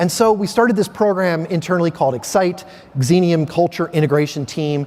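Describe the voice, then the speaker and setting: An American accent marks this man's high-pitched voice, which has an animated tone and lively intonation. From Philadelphia, US. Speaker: keynote speaker. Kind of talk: keynote speech. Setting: stage with audience.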